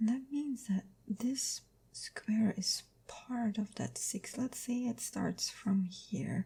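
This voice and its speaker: At a very slow pace, the speaker is soft-spoken. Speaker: ASMR creator. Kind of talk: ASMR soft-spoken puzzle session.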